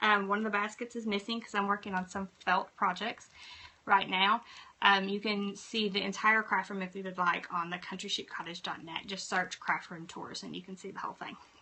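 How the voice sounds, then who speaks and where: Medium-pitched woman at a fairly quick pace, flat and monotone in intonation, with big swings in loudness. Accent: Southern US. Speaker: craft blogger and YouTuber. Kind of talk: live stream tutorial. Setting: home craft room.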